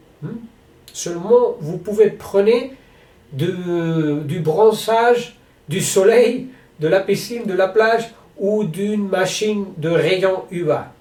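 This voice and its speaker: A man with a Spanish accent speaks very slowly in a high voice, leaving long, frequent pauses. His pitch varies in an ordinary way, and room echo is audible. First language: Spanish (speaking French). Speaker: sports federation president. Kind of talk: announcement to athletes. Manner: halting.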